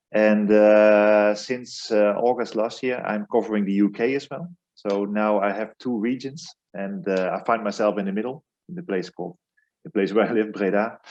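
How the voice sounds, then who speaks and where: A man's fairly low voice with a Dutch accent, moderate in pace, with ordinary pitch variation. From Netherlands. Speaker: airline country manager. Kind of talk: interview. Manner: hesitant, many fillers.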